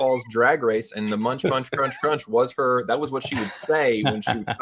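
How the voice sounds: The voice reads naturally, and its pitch varies in an ordinary way.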